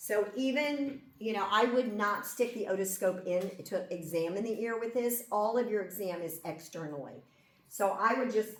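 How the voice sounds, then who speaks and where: A woman's lively, varied intonation comes at a moderate pace through noticeable background noise and clear room echo. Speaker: nursing instructor. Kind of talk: lecture. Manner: loud.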